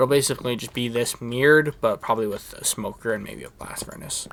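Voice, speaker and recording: Whispering, a man speaks at a very fast pace. Noticeable background noise runs behind him. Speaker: gaming YouTuber. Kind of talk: gameplay commentary. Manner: casual, halting.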